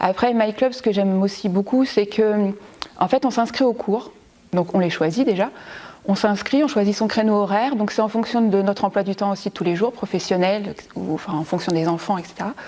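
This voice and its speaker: Noticeable background noise sits under a woman speaking at a moderate pace and medium pitch, with ordinary pitch variation. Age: 40s. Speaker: primary school teacher, gym member. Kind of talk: testimony. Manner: hesitant, many fillers.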